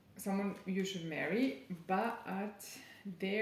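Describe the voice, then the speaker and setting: A woman speaks at a very slow pace and a medium pitch. Audible room echo and noticeable background noise fill the recording. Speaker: tarot reader. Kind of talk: channeled tarot reading. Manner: halting.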